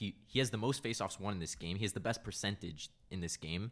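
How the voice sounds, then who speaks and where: A man talks at a fairly quick pace in an unremarkable speaking voice with ordinary pitch variation. The recording is very clean, the background silent. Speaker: hockey fan podcast guest. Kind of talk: casual chat.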